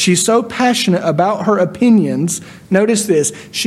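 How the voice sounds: A natural reading voice, pitch moving in ordinary ways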